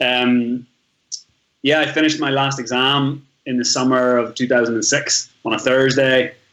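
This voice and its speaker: At a moderate pace and with very even loudness, the speaker talks in a Northern Irish accent with fairly even intonation. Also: man, medium pitch for a man. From Northern Ireland. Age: 30s. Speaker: travel blogger. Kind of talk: podcast interview, life story.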